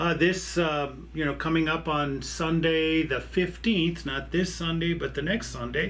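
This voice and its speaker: A man with an American accent talks at a fairly slow pace. Noticeable background noise and audible room echo fill the recording. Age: 60s. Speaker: pastor. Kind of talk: church video announcements. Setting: office desk. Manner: halting, many fillers.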